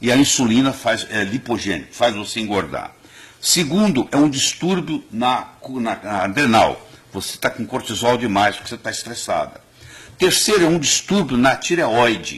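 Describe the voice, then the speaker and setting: A man with a plain, everyday voice, medium pitch, lively intonation, and a moderate pace. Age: 60s. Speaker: cardiologist and nutrition doctor. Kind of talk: TV interview.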